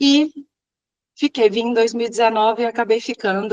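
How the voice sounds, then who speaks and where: A woman speaks at a very fast pace with ordinary pitch variation. The sound is dry and close, with no echo. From Minas Gerais, Brazil. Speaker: civil engineer and professor. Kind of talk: interview. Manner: hesitant fillers.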